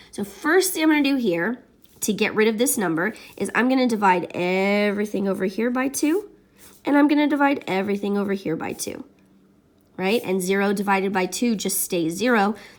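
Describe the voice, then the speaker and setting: Fairly quick and lively in intonation, a woman talks in an ordinary speaking voice at a medium pitch. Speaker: math teacher. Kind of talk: tutorial.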